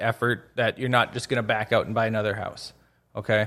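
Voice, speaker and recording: Speaking at a fairly quick pace, a man comes through in a very clean recording with a silent background. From northwest Minnesota, Crookston. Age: 30s. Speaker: real estate agent, retired military. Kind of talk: casual interview.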